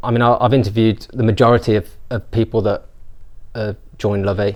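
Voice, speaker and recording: A man's medium-pitched voice in a Birmingham accent, very fast and monotone, with flat intonation. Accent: Birmingham (Brummie). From England, Birmingham. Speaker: business founder. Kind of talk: interview. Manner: hesitant, repeats words.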